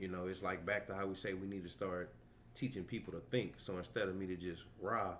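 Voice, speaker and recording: A man speaks with a very deep, low pitch and fairly even intonation. Room echo is audible. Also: fairly quick pace. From Louisiana, Hammond area. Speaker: football coach. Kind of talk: casual chat.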